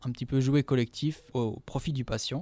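The recording is very clean, the background silent. A man is talking in it. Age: 20s. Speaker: physiotherapist. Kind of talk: interview. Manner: halting, many fillers.

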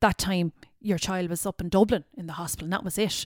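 A woman with a Kerry accent on a very clean recording with a silent background. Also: dry, close sound with no echo. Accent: Kerry Irish. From Ireland, North Kerry. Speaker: former beauty queen and model. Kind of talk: interview.

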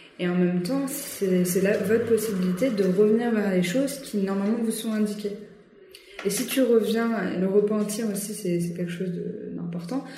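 A woman's medium-pitched voice at a moderate pace, ordinary pitch variation, long and frequent pauses, audible room echo and noticeable background noise. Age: 20s. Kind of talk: casual interview. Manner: halting, many hesitations.

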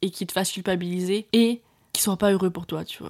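In a very clean recording with a silent background, a woman with a plain, everyday voice talks at a fairly quick pace with fairly even intonation. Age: 20s. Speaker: podcast host, entrepreneur. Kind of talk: solo monologue podcast. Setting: at her parents' home. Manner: casual, filler-heavy.

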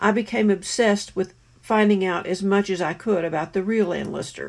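Fairly quick woman's voice, medium in pitch, with vocal fry and fairly even intonation, on a very clean recording with a silent background. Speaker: author. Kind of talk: testimony.

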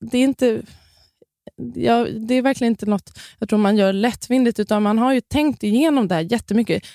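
Talking at a fairly quick pace, a woman with a fairly high pitch and a dark, mellow tone shows ordinary pitch variation and very even loudness in a dry, close recording with no echo. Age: 30s. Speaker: midwife and influencer. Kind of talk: podcast interview.

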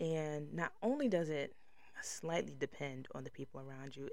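With lively intonation and an animated tone, a woman speaks at a very deep, low pitch. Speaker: podcast host. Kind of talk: casual solo podcast monologue. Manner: loud, animated.

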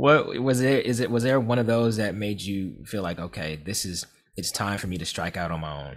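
On a very clean recording with a silent background, a man with an ordinary speaking voice talks at a fairly low pitch and moderate pace with lively intonation. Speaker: podcast host. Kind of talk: interview with ad reads.

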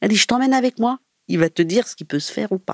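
This woman talks at a fairly quick pace, her pitch swinging very widely. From Paris region, France. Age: 50s. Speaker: former prisoner and hairdresser. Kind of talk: personal testimony. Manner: halting, with many hesitations.

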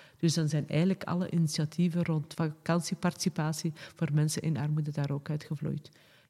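A woman's very deep, low voice, somewhat breathy with a dark, mellow tone, at a moderate pace with monotone, flat intonation. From Flanders, Pajottenland (Sint-Martens-Lennik). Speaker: director of a women's organisation and local councillor. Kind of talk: casual interview.

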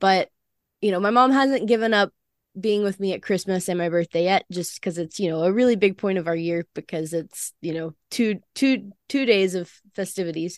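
In a quiet background, a woman with an American accent talks at a moderate pace, her medium pitch showing ordinary variation. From US South, Alabama. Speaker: university student, co-host. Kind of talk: casual chat.

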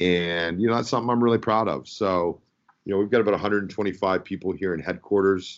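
The man's voice shows ordinary pitch variation. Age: 40s. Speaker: company CEO. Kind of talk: interview.

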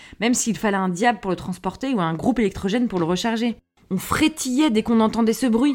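A woman's animated voice, fairly high in pitch with ordinary variation, at a fairly quick pace. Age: 30s. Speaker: podcast host. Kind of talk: scripted monologue.

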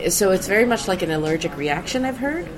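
A woman's voice over noticeable background noise. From Sweden. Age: 30s. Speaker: comedian. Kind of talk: casual chat. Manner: halting.

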